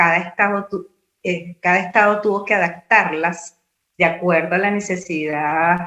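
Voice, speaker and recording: Here is a woman with an unremarkable speaking voice and a fairly low pitch. She goes at a fairly slow pace with fairly even intonation. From Venezuela. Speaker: university lecturer and radio announcer. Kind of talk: conference talk.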